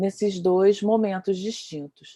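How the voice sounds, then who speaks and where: A woman talks in a dark, mellow tone. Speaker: dance researcher and lecturer, panelist. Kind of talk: panel discussion talk. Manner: hesitant, many fillers.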